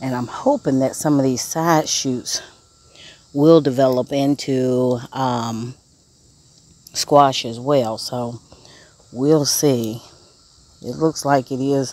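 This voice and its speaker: The pace is very slow, with long, frequent pauses. The sound is dry with no echo. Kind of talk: casual garden tour vlog. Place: garden. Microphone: phone near.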